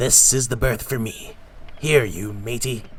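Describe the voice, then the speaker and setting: A man uses a put-on character voice, raspy and at medium pitch, moving at a fairly slow pace. Light background noise sits behind him. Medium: read story. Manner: rough, commanding.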